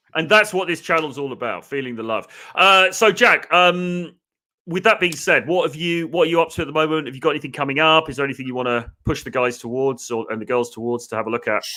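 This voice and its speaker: A man with a British accent talks at a very fast pace in a fairly high pitch, his tone bright and sharp and his intonation lively. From England. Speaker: dating coach and live stream host. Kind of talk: casual live stream chat. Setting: online live stream.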